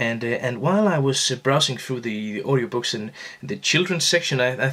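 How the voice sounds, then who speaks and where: A man with a non-native accent, at a fairly quick pace. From Denmark, Aarhus. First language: Danish. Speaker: fly-tying instructor. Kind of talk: tutorial. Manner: halting, many fillers and repeats.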